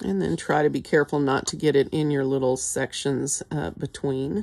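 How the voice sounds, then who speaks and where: With vocal fry and a very deep, low pitch, a woman speaks with ordinary pitch variation. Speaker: art instructor. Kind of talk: tutorial.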